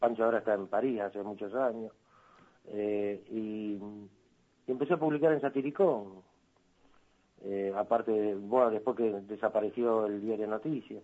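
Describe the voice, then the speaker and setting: At a moderate pace, a man speaks with fairly low pitch and fairly even intonation. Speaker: cartoonist. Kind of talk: interview.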